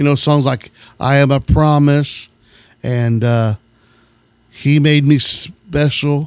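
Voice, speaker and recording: In a very clean recording with a silent background, a man speaks very slowly in a fairly high, monotone, flat voice. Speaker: radio host who collects gospel records. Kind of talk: casual show-and-tell of record collection.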